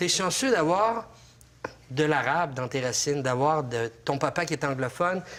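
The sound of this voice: The speaker moves at a moderate pace, with lively intonation and a fairly bright tone. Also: man, fairly high pitch for a man.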